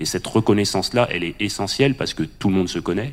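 A man with a very deep, low pitch talks at a very fast pace, with ordinary pitch variation. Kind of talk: panel discussion.

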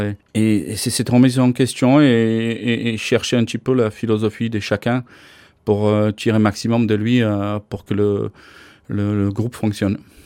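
A man talks with a Slovak accent at a fairly low pitch. His intonation is monotone and flat, and the sound is dry and close with no echo. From Slovakia. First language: Slovak (speaking French). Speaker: ice hockey coach. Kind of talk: interview. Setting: office at ice rink. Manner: halting.

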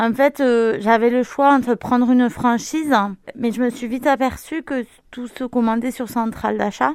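A woman's high-pitched voice at a moderate pace, monotone and flat in intonation. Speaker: local shop owner. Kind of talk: interview. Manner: halting, many hesitations.

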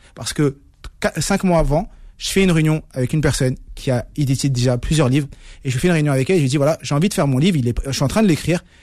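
At a very fast pace, a man talks with a fairly high pitch in a very clean recording with a silent background. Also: ordinary pitch variation. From Paris suburbs (Saint-Ouen). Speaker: speed-reading champion and author. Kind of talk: radio interview.

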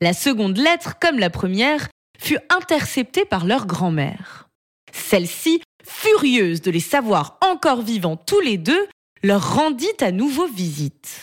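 Calm in tone, a woman speaks at a very slow pace, her fairly high pitch swinging very widely. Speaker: storyteller narrating a tale. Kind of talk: bedtime story telling. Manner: calm, soft, slow storytelling pace.

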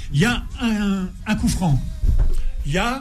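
Lively intonation comes through amid noticeable background noise and audible room echo. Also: man. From northern France. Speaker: former international footballer. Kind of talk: radio interview.

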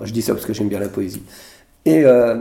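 A medium-pitched male voice with vocal fry and ordinary pitch variation. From Brittany, France (Morbihan, near Vannes). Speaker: senator. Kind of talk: interview in front of an audience. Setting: public recording with audience. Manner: halting, many repetitions and hesitations.

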